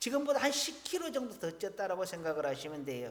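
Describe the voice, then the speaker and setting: A man speaks with very wide pitch swings. Audible room echo surrounds his voice. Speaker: pastor. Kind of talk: sermon.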